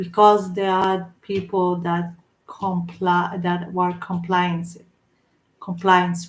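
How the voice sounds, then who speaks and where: In a non-native accent, a woman with a fairly low, somewhat breathy voice speaks at a very slow pace with monotone, flat intonation. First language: not English. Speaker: vlogger. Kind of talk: casual monologue. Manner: halting.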